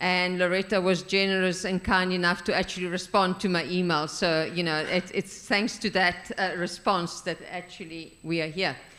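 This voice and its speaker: There is noticeable background noise behind a woman speaking at a medium pitch. Her intonation is flat and monotone, with hardly any pauses. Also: moderate pace. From Italian background. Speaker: researcher and co-author. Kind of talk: public thank-you and discussion. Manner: loud.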